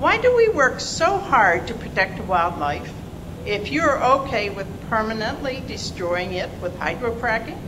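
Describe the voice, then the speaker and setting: A woman at a fairly slow pace amid audible room echo and noticeable background noise. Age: 70s. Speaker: public hearing speaker. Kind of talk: public testimony. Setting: public hearing.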